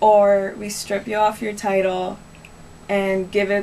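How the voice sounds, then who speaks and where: Light background noise accompanies the female speaker. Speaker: interviewee. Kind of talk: interview answer. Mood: earnest, slightly aggrieved. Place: home room. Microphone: camera far.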